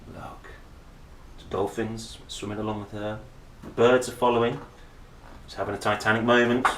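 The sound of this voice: A man speaks at a moderate pace with a fairly low pitch and little pitch movement. His tone is fairly bright, with audible room echo.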